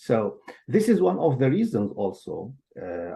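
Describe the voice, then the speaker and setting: A man speaks at a very slow pace. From Syria, Damascus. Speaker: translator and interpreter. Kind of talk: interview. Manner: halting.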